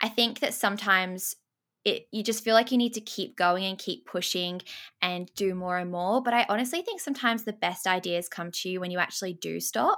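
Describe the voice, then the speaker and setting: Bright and sharp in tone, a woman talks at a fairly quick pace in an Australian accent. The recording is very clean with a silent background. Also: medium pitch for a woman, ordinary pitch variation. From Australia, Sydney. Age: 20s. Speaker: YouTuber and podcast host. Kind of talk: casual interview chat.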